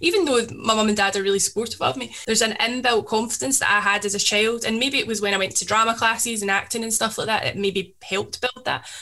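Talking at a very fast pace with a west of Scotland accent, a woman uses a fairly high pitch, ordinary pitch variation and hardly any pauses. Noticeable background noise runs underneath. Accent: Scottish (west of Scotland). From Scotland, Paisley. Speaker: DJ and social media creator. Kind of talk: casual chat.

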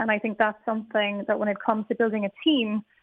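Speaking at a fairly quick pace, a woman with an Irish accent keeps a monotone, flat intonation. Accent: Irish (Galway). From Ireland, Galway. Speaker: technology executive. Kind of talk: radio interview. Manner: hesitant, with fillers and repetitions.

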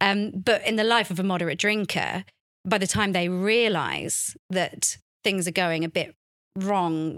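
In a very clean recording with a silent background, a woman with a normal speaking voice talks at a medium pitch with fairly even intonation. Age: 30s. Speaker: journalist and author on faith and recovery. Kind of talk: casual interview chat. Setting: studio.

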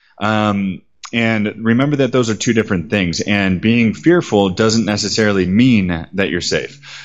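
A man speaks with an American accent in an ordinary speaking voice. His pitch is fairly low with ordinary variation, and his pace is fairly slow. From United States. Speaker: travel guide and writer. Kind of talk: interview.

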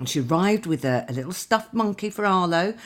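A woman at a moderate pace, her pitch swinging widely

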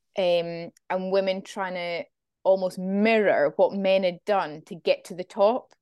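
With a plain, everyday voice, a woman talks at a fairly slow pace and fairly even intonation. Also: medium pitch for a woman, big swings in loudness. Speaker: podcast host. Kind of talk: casual interview chat.

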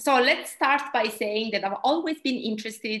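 A woman talks with an Italian accent and lively intonation. The background is quiet. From Italy. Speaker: dietitian and researcher. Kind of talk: interview.

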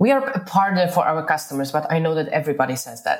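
Music plays in the background. The speaker has a Polish accent and lively intonation. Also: woman. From Poland. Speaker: entrepreneur. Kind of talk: interview.

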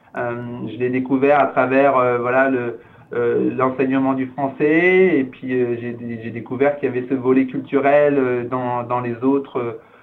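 Speaking at a very slow pace, a man holds a medium pitch with monotone, flat intonation amid audible room echo. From France. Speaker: cultural organization director. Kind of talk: interview. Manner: halting.

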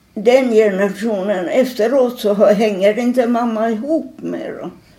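Amid noticeable background noise and audible room echo, a woman talks at a fairly high pitch and a fairly slow pace with ordinary pitch variation. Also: big swings in loudness. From Finland, Helsinki. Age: 80s+. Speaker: elderly artist and typographer. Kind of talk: interview. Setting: at her home. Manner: halting.

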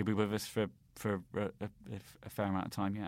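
A man with a British accent speaks at a fairly low pitch. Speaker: political commentator. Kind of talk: casual chat. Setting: remote call. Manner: halting, many fillers and repetitions.

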